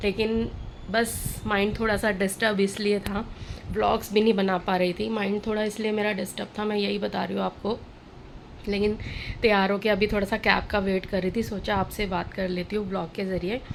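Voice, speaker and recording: Noticeable background noise runs under a woman's medium-pitched voice. She speaks at a moderate pace with monotone, flat intonation. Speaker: vlogger. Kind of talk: casual vlog talk to camera.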